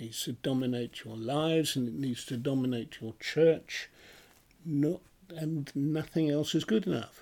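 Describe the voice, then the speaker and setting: Someone with a British accent speaks at a fairly slow pace on a very clean recording with a silent background. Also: man, fairly high pitch for a man, ordinary pitch variation. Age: 80s+. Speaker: retired minister. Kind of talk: Bible study discussion.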